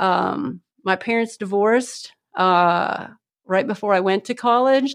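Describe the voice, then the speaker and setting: Over a quiet background, a woman speaks in a Midwestern American accent at a medium pitch. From northern Ohio (Seneca County). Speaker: agricultural educator and sheep breeder. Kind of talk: interview.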